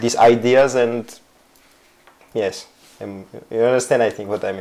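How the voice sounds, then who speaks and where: A man with a Georgian accent talks in a medium pitch with monotone, flat intonation and big swings in loudness at a moderate pace, over noticeable background noise. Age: 30s. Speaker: footballer. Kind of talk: interview. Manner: halting.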